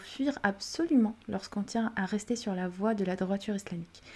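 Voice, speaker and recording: A woman with an Arabic accent speaks fairly slowly at a medium pitch, her tone dark and mellow and somewhat breathy. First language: Arabic (speaking French). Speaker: parenting podcast host. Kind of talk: solo podcast monologue. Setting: at home during children's nap. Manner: some hesitation and repeated words.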